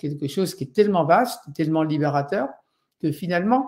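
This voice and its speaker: With lively intonation and a fairly high pitch, a man speaks at a fairly quick pace. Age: 60s. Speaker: Buddhist meditation teacher. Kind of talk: lecture. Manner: halting, many fillers.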